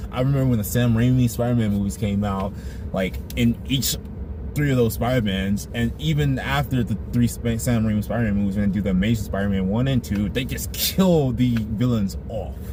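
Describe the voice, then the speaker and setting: A man with a fairly low voice speaks at a fairly quick pace with lively intonation. The room echo is audible and background noise is noticeable. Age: 20s. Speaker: movie reviewer. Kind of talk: casual video review. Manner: halting, repeats words.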